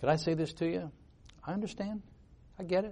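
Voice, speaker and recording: This man's voice carries a dark, mellow tone. There is a somewhat breathy quality to it. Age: 70s. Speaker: visiting preacher, missionary. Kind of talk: sermon. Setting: church.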